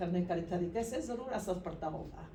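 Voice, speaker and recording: The speaker has a Polish accent, and audible room echo surrounds the voice. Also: woman. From Poland. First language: Polish (speaking Hindi). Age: 60s. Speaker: translator. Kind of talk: conference talk. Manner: halting.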